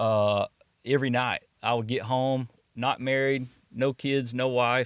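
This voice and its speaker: Against a quiet background, a man speaks at a moderate pace and medium pitch in monotone, flat intonation. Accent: East Texas. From East Texas. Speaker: network marketing entrepreneur, former high school coach. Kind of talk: casual interview.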